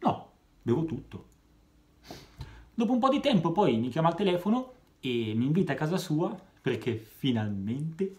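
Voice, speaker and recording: The voice is somewhat breathy, with very wide pitch swings. It moves at a moderate pace, broken by long, frequent pauses. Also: man. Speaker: comedian. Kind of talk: stand-up comedy monologue. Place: home room. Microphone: phone near.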